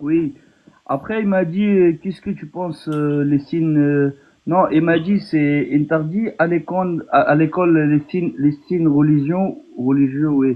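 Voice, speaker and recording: This man speaks fairly slowly with a fairly high pitch and a non-native accent. His intonation stays fairly even. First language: not French (speaking French). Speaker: naturalisation candidate, former police officer abroad. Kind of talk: casual chat. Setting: phone call. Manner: halting. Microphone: far from the mic, too quiet.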